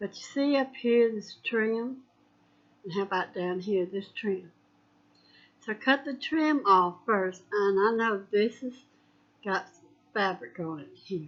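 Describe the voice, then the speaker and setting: A woman at medium pitch speaks very slowly, with long, frequent pauses. Her intonation is lively and her loudness swings widely. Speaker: craft tutorial host. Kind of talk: tutorial. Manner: casual, hesitant.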